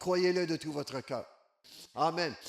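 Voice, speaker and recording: A man with a Quebec accent at a fairly slow pace. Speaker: evangelist. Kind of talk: sermon. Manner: animated.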